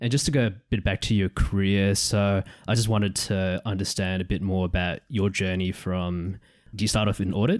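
A man with an unremarkable speaking voice and fairly low pitch talks at a moderate pace, using fairly even intonation and very even loudness. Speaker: podcast host. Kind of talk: interview.

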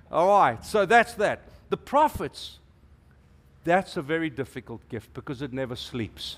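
A man with a South African accent speaks at a high pitch and a fairly slow pace, his pitch swinging very widely. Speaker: preacher. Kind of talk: sermon. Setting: church. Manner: animated.

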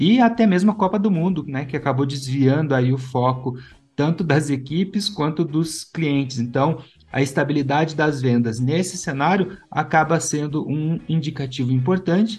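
Moderate pace and ordinary pitch variation in a man's somewhat breathy voice, pitched fairly high. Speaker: podcast host, head of education. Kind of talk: interview and news commentary podcast.

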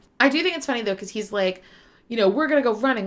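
This woman speaks in an animated tone with lively intonation. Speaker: podcast co-host. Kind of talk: casual chat.

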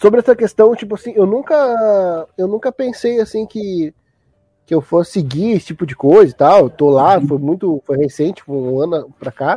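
With music playing in the background, a man in a Gaúcho Brazilian accent speaks at a moderate pace, his high voice making very wide pitch swings. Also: dry, close sound with no echo. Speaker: podcast host. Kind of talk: casual chat.

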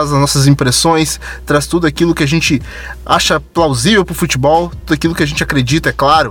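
A man with a fairly high voice speaks fairly quickly, his pitch varying in an ordinary way, as noticeable background noise runs beneath. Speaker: football podcast host. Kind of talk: casual football chat. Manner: animated.

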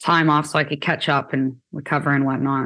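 A woman's very deep, low voice in a Canadian accent, monotone and flat, at a fairly quick pace against a quiet background. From Ontario, Canada (Kitchener). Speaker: musician. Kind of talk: casual chat.

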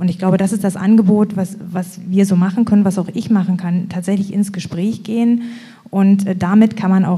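Amid noticeable background noise, a woman of medium pitch talks at a moderate pace with fairly even intonation. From eastern Germany, Lusatia (Boxberg). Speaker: association chair. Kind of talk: live panel discussion. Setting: stage with live audience.

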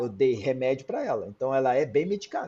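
A somewhat breathy man at a moderate pace. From Brazil. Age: 40s. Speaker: cardiologist. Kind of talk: interview. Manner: animated.

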